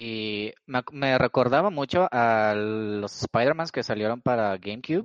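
A man's medium-pitched, normal speaking voice at a fairly slow pace with ordinary pitch variation and hardly any pauses, dry and close with no echo, against a quiet background. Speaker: podcast host. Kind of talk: casual chat. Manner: joking, playful.

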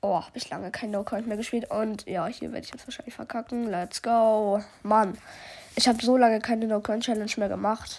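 A woman with a fairly high pitch speaks in a monotone with flat intonation. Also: moderate pace. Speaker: gaming podcaster. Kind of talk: gameplay commentary.

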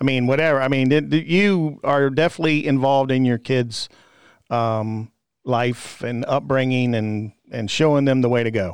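A man at a moderate pace, with a Virginia accent, a medium pitch and ordinary pitch variation. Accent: Southern US (Virginia). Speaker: podcast host. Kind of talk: casual chat.

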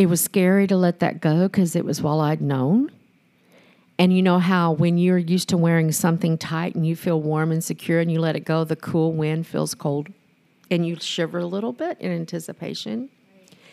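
A woman's fairly low, dark and mellow voice at a fairly quick pace, with fairly even intonation. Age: 60s. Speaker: singer and cigar enthusiast. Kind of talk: testimony.

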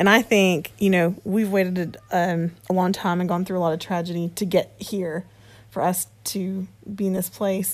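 A woman speaks in a normal speaking voice at medium pitch with fairly even intonation. The recording is very clean, with a silent background. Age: middle-aged. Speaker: podcast co-host, singer. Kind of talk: casual chat.

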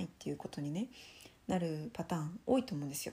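A woman speaks in a dark, mellow tone with a somewhat breathy quality. Her pitch swings very widely. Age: 20s. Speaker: solo podcaster on sex education. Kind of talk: casual monologue.

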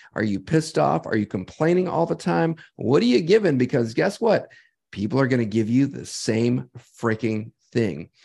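With a dark, mellow tone and vocal fry, a man speaks at a moderate pace in a medium pitch, making very wide pitch swings. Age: 50s. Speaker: health podcast co-host. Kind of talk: casual chat.

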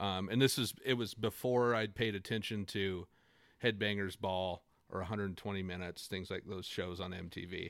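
Against a very clean recording with a silent background, a man with an American accent speaks in a plain, everyday voice at a fairly low pitch, with fairly even intonation and a moderate pace. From north central Washington, US. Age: 30s. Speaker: guest, music fan. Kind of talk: casual interview chat.

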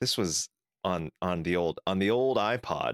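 On a very clean recording with a silent background and a dry, close sound with no echo, a man with an American accent speaks at a very slow pace, using a very deep, low pitch and lively intonation. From California. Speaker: podcast co-host. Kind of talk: casual chat.

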